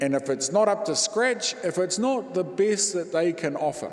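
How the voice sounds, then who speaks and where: Amid noticeable background noise and audible room echo, a man speaks in a high voice. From New Zealand, East Cape (Māori). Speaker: Māori Anglican priest, guest preacher. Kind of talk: sermon. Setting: church.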